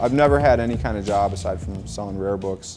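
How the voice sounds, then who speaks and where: A man with a Midwestern American accent. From Michigan, Detroit suburbs. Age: 30s. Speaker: rapper and rare book dealer. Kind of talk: casual vlog narration; documentary interview. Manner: casual, filler-heavy.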